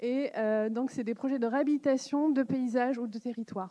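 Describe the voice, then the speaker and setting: Recorded with a dry, close sound and no echo, a woman's fairly high voice carries a dark, mellow tone. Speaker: conference co-host. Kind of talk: event announcement. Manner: fast.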